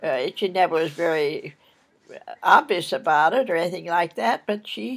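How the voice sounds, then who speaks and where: On a very clean recording with a silent background, a woman with vocal fry speaks at a moderate pace with very wide pitch swings. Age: 90s. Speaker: elderly interviewee. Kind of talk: oral history interview. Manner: halting.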